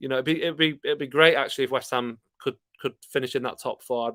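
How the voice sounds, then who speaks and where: A man with a Yorkshire accent at a fairly quick pace, on a very clean recording with a silent background. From Yorkshire, Scarborough. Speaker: football fan YouTuber. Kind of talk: live stream chat reading viewer comments. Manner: casual, hesitant with fillers.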